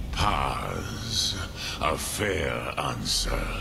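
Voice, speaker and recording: Loud background noise fills the clip. Over it, a man performs a put-on character voice. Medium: machinima. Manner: slow, measured, mixes dragon-tongue words.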